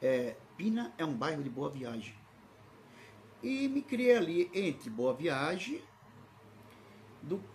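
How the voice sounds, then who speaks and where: A man speaks at a very slow pace with very wide pitch swings. Audible room echo surrounds his voice. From Brazil, Recife (Pernambuco), then São Paulo from 16. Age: 60s. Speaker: pastor. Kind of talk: sermon with personal digressions, livestream. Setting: livestream. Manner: halting, repetitive.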